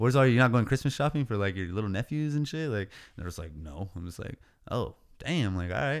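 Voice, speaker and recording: Very fast and with very wide pitch swings, a man talks at medium pitch in an American accent. The recording is very clean with a silent background. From California, Oceano. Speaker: rapper and landscaping business owner. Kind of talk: casual chat. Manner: casual slang-heavy.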